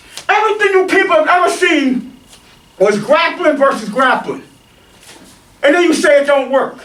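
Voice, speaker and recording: A man with an extremely high pitch speaks in an animated tone at a moderate pace, with ordinary pitch variation. Audible room echo and noticeable background noise fill the recording. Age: 50s. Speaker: martial arts instructor. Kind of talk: rant.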